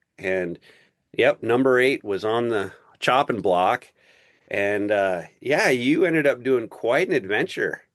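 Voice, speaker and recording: Against a quiet background, a man with an unremarkable speaking voice talks at a fairly slow pace, the sound dry and close with no echo. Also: medium pitch for a man, lively intonation. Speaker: podcast host. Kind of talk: podcast interview host.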